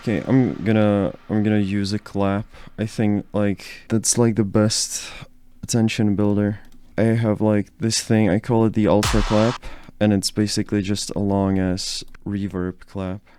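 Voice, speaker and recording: A man with a Czech accent speaks in monotone, flat intonation at a fairly low pitch with a dark, mellow tone. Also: fairly slow pace. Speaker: music producer, YouTuber. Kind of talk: casual tutorial. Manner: casual, hesitant with many fillers.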